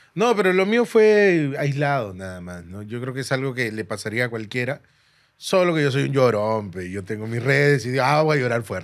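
A man at a moderate pace against a quiet background, with very wide pitch swings and big swings in loudness. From Peru. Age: 30s. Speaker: stand-up comedian. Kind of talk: casual chat. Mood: candid, reflective, joking. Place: studio. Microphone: studio mic.

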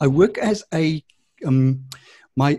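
Against a quiet background, a man speaks with a dark, mellow tone, somewhat breathy, with ordinary pitch variation. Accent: South African. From South Africa. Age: 50s. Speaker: addiction and wellness counsellor. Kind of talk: interview. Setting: video call. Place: home room.

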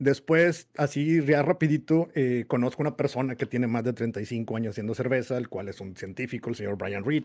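A man speaks fairly quickly, with ordinary pitch variation, and the background is quiet. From Mexico, Monterrey; Nuevo León, Mexico. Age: 40s. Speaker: homebrewer and youtuber; youtuber. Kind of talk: casual interview. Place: home room. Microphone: studio mic.

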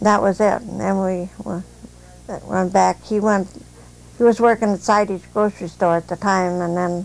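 A woman at a moderate pace in a monotone, flat intonation. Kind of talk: oral history interview answer. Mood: calm, reminiscing. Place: home room.

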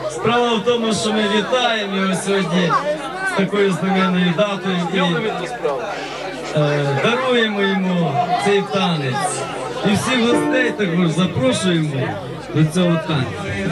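A man speaking at a fairly slow pace, with ordinary pitch variation, long and frequent pauses, and crowd noise behind him. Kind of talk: toast announcement. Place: garden.

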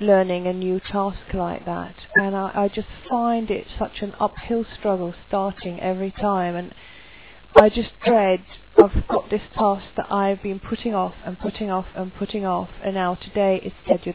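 A woman at a moderate pace in a monotone, flat intonation, dry with no echo, over light background noise. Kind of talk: casual vlog chat. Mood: stressed, reflective. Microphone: headset.

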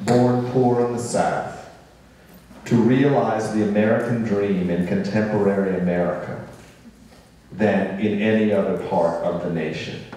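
Strong room echo surrounds a man speaking at a fairly slow pace in a fairly low pitch. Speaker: panel moderator. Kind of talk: moderated panel discussion. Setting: stage with audience. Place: stage.

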